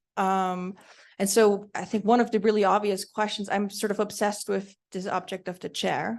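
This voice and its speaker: A woman speaks at medium pitch with a Swiss German accent, her intonation monotone and flat. Her pace is moderate, and the background is quiet. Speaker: panelist, design researcher. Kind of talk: conference panel Q&A.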